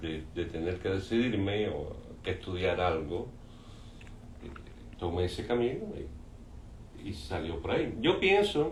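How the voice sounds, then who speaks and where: Very deep, low male speech, fairly slow, with lively intonation and long, frequent pauses, plus audible room echo and noticeable background noise. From Cuba. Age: 60s. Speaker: painter. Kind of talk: interview. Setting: artist's studio.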